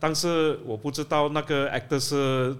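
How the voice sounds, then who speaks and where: A man with a Malaysian accent. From Malaysia, Penang. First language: English (speaking Chinese). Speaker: film director. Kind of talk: interview. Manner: halting, code-switching.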